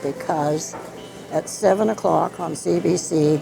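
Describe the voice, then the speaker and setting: Music plays in the background as a woman speaks with a very deep, low pitch. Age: 80s+. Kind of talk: interview answer. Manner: spirited, lively.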